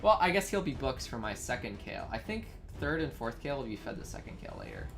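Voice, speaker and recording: Music plays in the background while the speaker talks at a very fast pace. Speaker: gaming streamer. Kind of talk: live gameplay commentary. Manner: loud.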